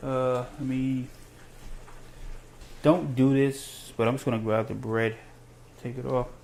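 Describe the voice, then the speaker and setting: A man with a medium-pitched voice talks at a fairly slow pace in a monotone, flat intonation, with long, frequent pauses. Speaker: cooking show host. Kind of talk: cooking tutorial. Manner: casual, rambling with fillers.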